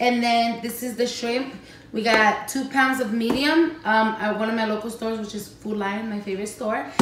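Noticeable background noise and audible room echo around a woman's moderately paced speech. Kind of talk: casual cooking tutorial. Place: kitchen. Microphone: camera far.

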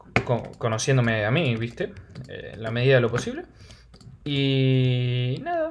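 With a Rioplatense accent, a man speaks at a moderate pace in a fairly high pitch with lively intonation, over noticeable background noise. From Argentina. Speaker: gaming youtuber. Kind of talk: gameplay commentary. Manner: animated.

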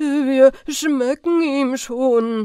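This is a put-on character voice that sounds female. Its pitch is high for a woman. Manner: muttering.

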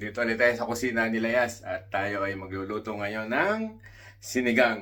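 A man with an unremarkable speaking voice at medium pitch, fairly slow pace and ordinary pitch variation. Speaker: cooking vlogger. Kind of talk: cooking tutorial vlog; personal reflection. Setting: home kitchen. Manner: casual, conversational.

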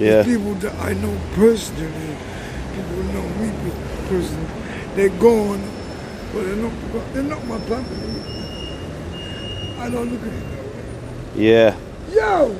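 A man at a moderate pace, with long, frequent pauses, over noticeable background noise. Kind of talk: casual street chat. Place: street. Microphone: phone near.

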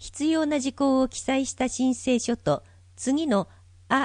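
A woman's high-pitched voice at a fairly slow pace, against a quiet background. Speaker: volunteer narrator for visually impaired. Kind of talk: reading aloud. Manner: formal.

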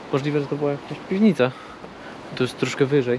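A man is speaking. The sound is dry with no echo, but there is noticeable background noise. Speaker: travel vlogger. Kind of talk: casual vlog chat. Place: open country. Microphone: phone near.

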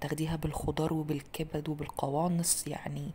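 Over light background noise, a woman speaks fairly slowly in a somewhat breathy, very deep, low voice with fairly even intonation. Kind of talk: tutorial. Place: kitchen.

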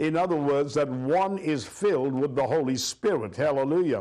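A man's voice at a moderate pace, with ordinary pitch variation. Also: quiet background. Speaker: pastor. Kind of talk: sermon. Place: studio.

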